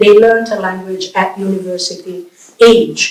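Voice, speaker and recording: A woman speaks with an Italian accent. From Italy. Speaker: professor and bilingualism researcher. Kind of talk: public lecture.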